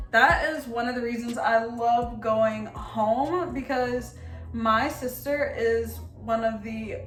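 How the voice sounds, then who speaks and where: A woman is speaking in a space with audible room echo. Noticeable background noise sits behind her voice. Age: 20s. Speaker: beauty YouTuber. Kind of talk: casual chat. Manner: animated.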